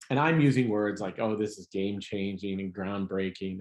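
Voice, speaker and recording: A man with an American accent has a normal speaking voice and a fairly low pitch. He talks at a fairly quick pace with ordinary pitch variation. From US Midwest. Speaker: comedian. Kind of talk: casual chat.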